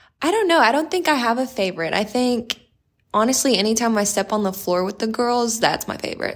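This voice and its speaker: A woman with an unremarkable speaking voice and an American accent talks at a fairly quick pace, her fairly high pitch rising and falling with lively intonation. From South Texas, Corpus Christi. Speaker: college basketball player. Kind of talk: interview.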